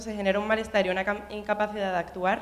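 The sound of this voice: A woman talks at a fast pace. Her pitch sits in the medium range.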